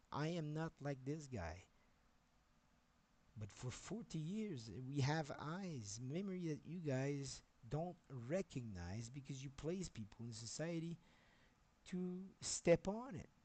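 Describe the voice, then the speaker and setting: A man with a Quebec accent talks at a very slow pace in a dark, mellow, somewhat breathy tone. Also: fairly high pitch for a man, lively intonation. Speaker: software developer streamer. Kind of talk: livestream rant. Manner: halting.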